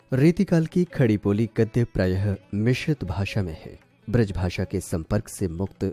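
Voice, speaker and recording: A man's voice with very wide pitch swings, dry and close with no echo, over music in the background. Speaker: radio jockey. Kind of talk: educational lecture narration.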